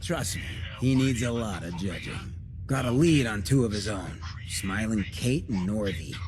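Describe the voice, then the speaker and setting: Putting on a character voice, a man drawls at a moderate pace in a fairly low pitch against loud background noise. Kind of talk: hard-boiled street talk. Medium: video game. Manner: cool, slangy, drawling.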